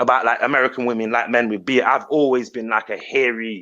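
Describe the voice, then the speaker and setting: A man speaks loudly. He has a British accent. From Britain. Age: 30s. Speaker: YouTuber. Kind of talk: casual chat.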